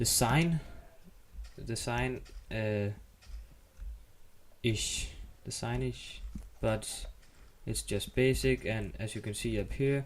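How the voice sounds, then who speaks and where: A man speaks very slowly with a Danish accent. He leaves long, frequent pauses. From Denmark. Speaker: gaming YouTuber. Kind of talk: gameplay tutorial. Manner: halting, many fillers.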